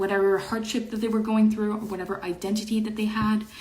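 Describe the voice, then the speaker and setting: A woman talks at a medium pitch. Audible room echo is present. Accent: slight French Canadian. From Quebec, Montreal. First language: French. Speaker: online show host. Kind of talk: casual chat. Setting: livestream. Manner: halting.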